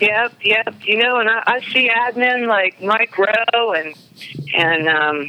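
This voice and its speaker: A woman with an American accent speaks at a fairly high pitch with lively intonation over noticeable background noise. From South Carolina coast (Charleston area). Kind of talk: casual chat.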